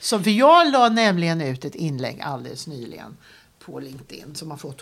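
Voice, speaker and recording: Very wide pitch swings and vocal fry mark this woman's speech. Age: 60s. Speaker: career coach. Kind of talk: interview.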